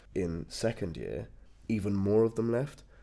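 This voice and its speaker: A man with a fairly low pitch talks in a dark, mellow tone with ordinary pitch variation. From English East Midlands, Lincolnshire/Nottinghamshire. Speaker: university student and football captain. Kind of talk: casual chat.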